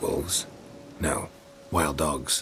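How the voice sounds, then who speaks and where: A man puts on a character voice against clear background noise. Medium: machinima. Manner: terse, clipped, drops subjects.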